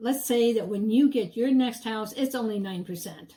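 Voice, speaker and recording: In a dark, mellow tone, the speaker keeps a moderate pace and ordinary pitch variation. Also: woman. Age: 70s. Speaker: real estate agent. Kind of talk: sales pitch.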